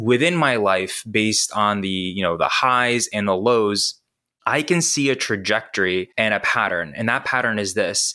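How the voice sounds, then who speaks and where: This man's fairly low voice carries a bright, sharp tone. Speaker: writer and self-help student. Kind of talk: casual interview chat. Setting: video call.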